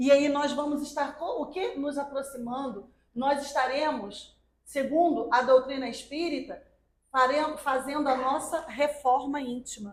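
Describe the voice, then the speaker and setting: Fairly even intonation from a high-pitched woman at a fairly slow pace. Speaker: spiritist lecturer. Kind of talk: religious talk.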